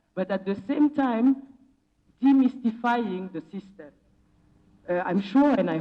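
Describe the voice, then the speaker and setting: A woman with a Senegalese accent speaks at a fairly slow pace in a somewhat breathy, dark, mellow tone with lively intonation. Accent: Senegalese, funky. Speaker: philanthropy program officer and activist. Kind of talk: conference panel talk. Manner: impassioned.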